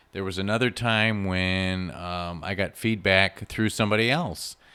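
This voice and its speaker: Loud speech with a bright, sharp tone and fairly even intonation. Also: man. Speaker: podcast host. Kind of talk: solo podcast monologue. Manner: casual, with fillers.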